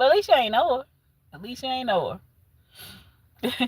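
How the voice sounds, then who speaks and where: In a Southern US accent, a high-pitched woman talks at a moderate pace with lively intonation and big swings in loudness, in a dry, close sound with no echo. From US South. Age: 40s. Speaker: livestreamer. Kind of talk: casual chat. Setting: livestream.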